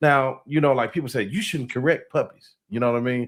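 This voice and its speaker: Medium in pitch and using ordinary pitch variation, a man speaks in a plain, everyday voice. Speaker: podcast host. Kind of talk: casual interview talk.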